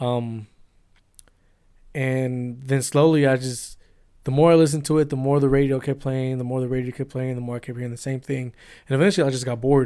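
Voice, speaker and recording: Speaking at a fairly quick pace with a Spanish accent, this voice has a dark, mellow tone, flat monotone intonation, and long, frequent pauses. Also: man, medium pitch for a man. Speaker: cameraman and editor. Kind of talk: casual podcast chat.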